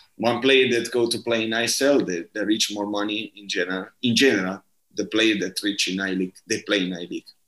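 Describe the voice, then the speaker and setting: With an Italian accent, a man speaks at a fairly quick pace and a fairly low pitch, his intonation fairly even but his loudness swinging widely. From southern Italy, Bari. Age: 30s. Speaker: football coach. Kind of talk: interview. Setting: remote call. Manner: halting.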